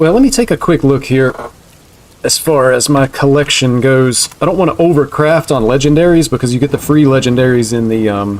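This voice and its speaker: Speaking fairly quickly with very even loudness, a man with a slight southeastern US accent uses a fairly high pitch and ordinary pitch variation. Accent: slight southeastern US twang. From US Southeast. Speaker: video game streamer. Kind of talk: live stream commentary. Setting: live stream. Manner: casual, conversational.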